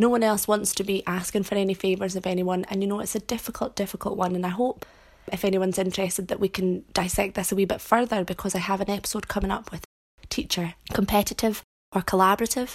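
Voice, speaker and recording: This woman speaks very fast with a Scottish accent. Her pitch is medium and her intonation is monotone and flat. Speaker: teacher and podcast host. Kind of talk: solo podcast monologue.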